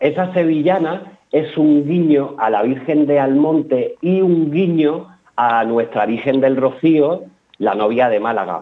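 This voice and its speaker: At a very slow pace, a man speaks with very even loudness, a fairly high pitch and ordinary pitch variation. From Peñarroya-Pueblonuevo, Córdoba, Spain. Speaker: flamenco dancer and choreographer. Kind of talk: radio interview.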